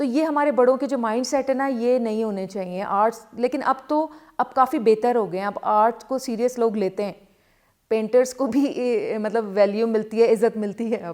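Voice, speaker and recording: A woman speaks in a fairly high pitch with ordinary pitch variation and an unremarkable speaking voice. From Karachi, Pakistan. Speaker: calligraphy artist. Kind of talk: interview answer.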